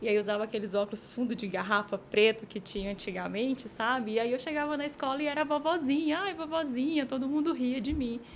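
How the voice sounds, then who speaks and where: A woman's high voice at a very fast pace, with lively intonation and noticeable background noise. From Piauí, northeastern Brazil (Teresina). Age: 30s. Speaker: team manager. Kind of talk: interview testimony.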